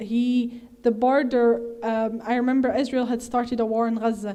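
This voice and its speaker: A woman's monotone, flat delivery in a fairly high pitch with a dark, mellow tone. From Egyptian heritage. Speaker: activist speaker. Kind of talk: Q&A answer at a talk. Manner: hesitant with many fillers.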